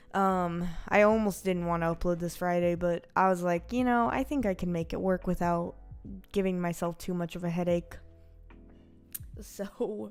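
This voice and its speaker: Music plays in the background as a woman talks at a moderate pace. Her pitch is fairly low, with ordinary variation. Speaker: streamer and animator. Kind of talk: casual livestream chat. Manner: halting, stumbling over words.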